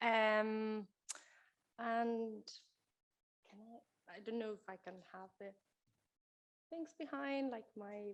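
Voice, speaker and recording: A woman's fairly high voice with a Spanish accent, at a very slow pace with ordinary pitch variation. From Spain. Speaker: keynote speaker, children's author. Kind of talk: keynote talk. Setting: stage with audience.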